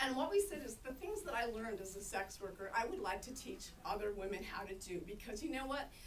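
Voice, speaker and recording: A woman speaks with an American accent at a fairly quick pace, with hardly any pauses. Her intonation is lively, and there is light background noise. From United States. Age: 60s. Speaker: sex worker rights activist; panelist. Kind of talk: panel discussion. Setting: conference panel with audience. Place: meeting room. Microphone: camera far.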